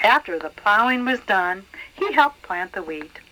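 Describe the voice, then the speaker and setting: A woman at a fairly slow pace, her intonation lively, with noticeable background noise. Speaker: grandmother reading to grandchildren. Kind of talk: children's story read aloud.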